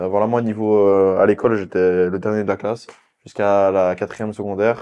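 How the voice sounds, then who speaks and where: The man's tone is dark and mellow, his intonation monotone and flat. He talks at a fairly quick pace against a quiet background. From Belgium, Liège (Jupille). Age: 20s. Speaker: physiotherapist and influencer. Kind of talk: casual interview. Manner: hesitant fillers (euh).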